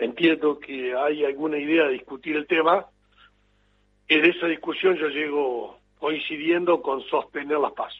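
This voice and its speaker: Fairly high for a man, his pitch rides a fairly even intonation as he talks at a fairly slow pace in a normal speaking voice. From Argentina, Entre Ríos. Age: 50s. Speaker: politician. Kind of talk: interview.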